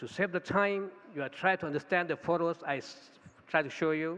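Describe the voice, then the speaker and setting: In a Thai accent, a man speaks at a high pitch in a bright, sharp tone. His pace is moderate, with ordinary pitch variation. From Thailand. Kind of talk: conference talk. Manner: halting.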